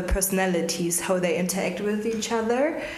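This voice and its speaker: Noticeable background noise and audible room echo around a woman's medium-pitched speech. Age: 20s. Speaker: startup co-founder, lawyer. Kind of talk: podcast interview.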